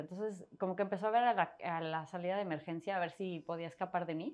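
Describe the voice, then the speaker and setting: The woman talks very fast, her medium-pitched voice rising and falling in an ordinary way. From Mexico City, part in Torreón, Coahuila. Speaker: personal finance author and blogger. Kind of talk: interview conversation.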